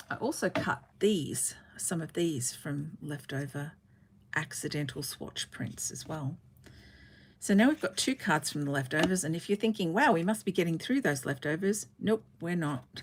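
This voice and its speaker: A woman speaks at a moderate pace. Her voice is somewhat breathy and fairly low in pitch. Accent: Australian. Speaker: card-making crafter. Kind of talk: livestream craft tutorial. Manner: casual, chatty.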